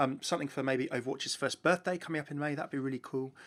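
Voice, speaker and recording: This man speaks very quickly. The background is silent, and the recording very clean. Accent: southern English. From southern England, near London. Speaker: gaming YouTuber. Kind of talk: Q&A answering viewer questions. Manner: fast; animated.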